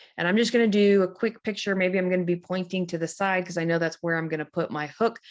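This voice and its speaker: In a plain, everyday voice, a woman speaks at a medium pitch and a fairly quick pace with fairly even intonation. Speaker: social media coach. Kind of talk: tutorial. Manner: casual.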